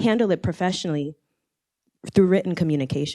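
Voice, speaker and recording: The speaker is a woman with a fairly low pitch. Her pitch varies in an ordinary way. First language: not English. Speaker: artist and wellness center founder. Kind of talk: panel discussion. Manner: halting.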